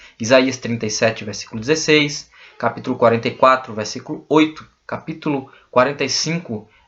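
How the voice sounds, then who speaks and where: A man's ordinary speaking voice at a moderate pace, with ordinary pitch variation. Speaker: bible teacher. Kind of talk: lecture.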